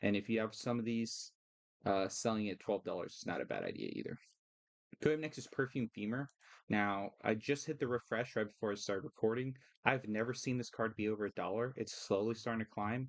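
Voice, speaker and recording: The man talks at a fairly quick pace in a medium pitch, his intonation fairly even. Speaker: card game content creator. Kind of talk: casual tutorial-style market commentary. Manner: fast; hesitant fillers (uh, um).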